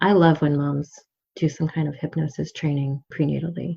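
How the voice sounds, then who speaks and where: Somewhat breathy, the voice keeps a moderate pace with monotone, flat intonation. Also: woman. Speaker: midwife. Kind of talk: casual chat. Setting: podcast interview.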